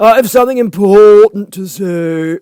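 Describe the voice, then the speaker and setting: Putting on a character voice, a man speaks at a high pitch with ordinary pitch variation. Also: dry, close sound with no echo. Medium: read story. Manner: terse, contradicting, short remarks.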